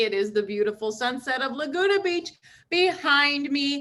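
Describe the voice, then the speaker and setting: A woman talks at a high pitch in a bright, sharp tone, her voice raised and projected. Her intonation is lively and her pace moderate. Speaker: interviewer. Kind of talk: podcast interview host.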